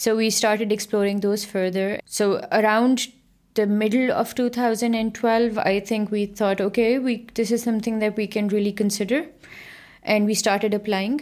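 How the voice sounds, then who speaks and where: Moderate pace with a Pakistani accent and fairly even intonation. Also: woman, fairly high pitch for a woman, very even loudness. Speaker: researcher and lecturer. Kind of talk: interview.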